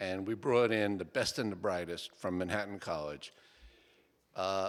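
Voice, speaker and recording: A fairly low-pitched man with a Bronx accent, moderate pace and ordinary pitch variation, in a very clean recording with a silent background. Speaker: structural engineer and author. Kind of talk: book talk to audience. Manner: short and to the point.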